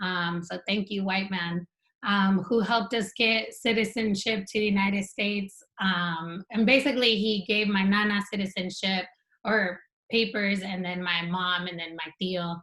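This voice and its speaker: Her tone bright and sharp, a woman talks at a medium pitch and a moderate pace with fairly even intonation. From San Diego–Tijuana border region. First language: Spanish. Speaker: PhD student, panelist. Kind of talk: panel discussion. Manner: many filler ums.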